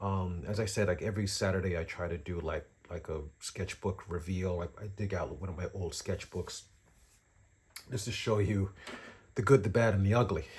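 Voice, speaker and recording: A man's very deep, low voice comes across as somewhat breathy. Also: fairly even intonation, moderate pace. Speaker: drawing teacher and artist. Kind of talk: casual tutorial vlog. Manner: halting, many fillers.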